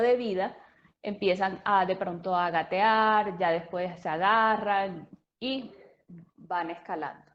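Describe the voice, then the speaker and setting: With a strong Colombian Caribbean accent, a woman speaks very slowly at medium pitch. Her intonation is fairly even, and the background is quiet. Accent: Colombian coastal (costeño), strong. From Colombian Caribbean coast (Sincelejo, Sucre). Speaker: speech therapist. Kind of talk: lecture.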